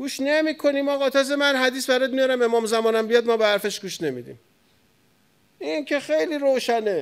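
Extremely high for a man, this animated voice moves at a fairly quick pace with ordinary pitch variation over a quiet background. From Iran, Tehran. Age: 40s. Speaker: cleric; cleric lecturer. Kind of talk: sermon. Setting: mosque pulpit with audience. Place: hall. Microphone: studio mic.

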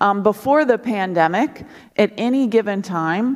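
A woman talks at a fairly slow pace with ordinary pitch variation. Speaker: preacher. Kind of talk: sermon. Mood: earnest, conversational. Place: church. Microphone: headset.

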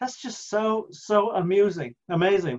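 Speaking at a fairly slow pace, a man uses a high pitch with ordinary pitch variation. His background is quiet. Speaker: church preacher. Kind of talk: sermon. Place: home room. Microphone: webcam.

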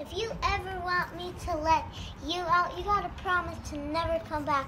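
A put-on character voice at a moderate pace over clear background noise. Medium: short film. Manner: anxious, then firm and demanding.

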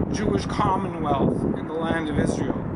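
Loud background noise nearly swamps a man as he talks. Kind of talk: ceremonial speech. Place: street. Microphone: podium.

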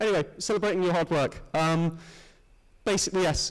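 Against a quiet background, a man talks with ordinary variation in pitch. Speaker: students' union education officer. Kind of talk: presentation to student assembly. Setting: stage with audience. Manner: halting, many fillers and repetitions. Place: hall.

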